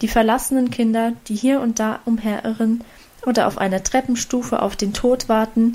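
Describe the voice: The voice reads aloud plainly. Its intonation stays fairly even.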